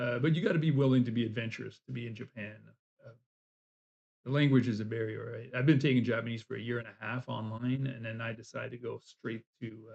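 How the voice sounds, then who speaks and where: A man with a medium pitch talks at a very fast pace with vocal fry and fairly even intonation. His loudness swings widely. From US South. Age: 60s. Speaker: language student and vlogger. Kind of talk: casual chat. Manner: halting.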